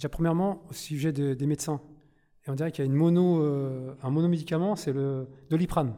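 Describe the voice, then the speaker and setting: The recording is very clean, with a silent background. A man speaks at a fairly high pitch in a dark, mellow tone. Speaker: audience member, prison inmate. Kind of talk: audience question. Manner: halting.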